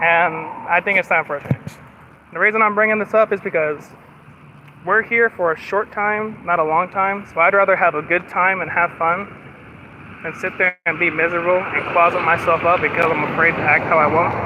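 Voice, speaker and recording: The speaker talks at a fairly quick pace with fairly even intonation, over noticeable background noise. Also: man, high pitch for a man. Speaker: live streamer. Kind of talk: casual live stream chat while walking. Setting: outdoors, walking. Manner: slurred words; talkative, constant chatter.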